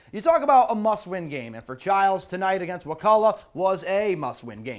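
Energetic in tone, a man talks in a high voice. The background is quiet. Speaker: sports reporter. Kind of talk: sports commentary narrating game highlights. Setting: TV studio. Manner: energetic, brisk play-by-play. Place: studio.

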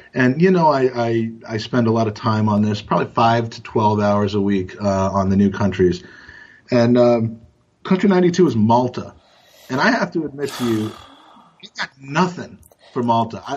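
A man with an American accent speaks in an ordinary speaking voice at medium pitch and a moderate pace, with lively intonation. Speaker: football podcast co-host. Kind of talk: casual chat.

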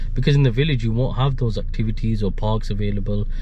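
Light background noise sits behind a man. His sound is dry with no echo. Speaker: vlogger. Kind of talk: casual vlog chat. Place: car. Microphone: phone near.

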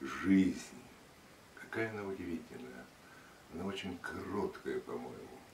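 A man speaks at a very slow pace with a fairly low pitch. Noticeable background noise runs under the recording. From Russia. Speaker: radio and TV announcer. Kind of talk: interview answer. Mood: reflective, solemn. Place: home room. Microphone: camera far.

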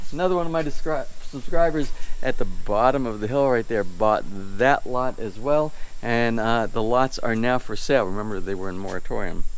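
His intonation is lively. The man keeps to a moderate pace. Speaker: home builder vlogger. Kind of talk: casual vlog chat. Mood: cheerful, laughing. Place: home room. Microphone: phone near.

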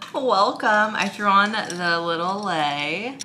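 A woman speaks slowly with lively intonation and a bright, sharp tone. Faint background noise can be heard. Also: medium pitch for a woman.

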